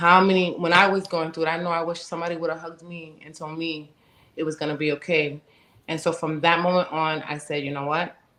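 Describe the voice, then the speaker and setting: In a New York accent, a woman talks very fast at a fairly low pitch, with a bright, sharp tone. Her intonation is monotone and flat, while her loudness swings widely. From US Northeast, Bronx, New York. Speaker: domestic violence advocate and author. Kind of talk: testimony.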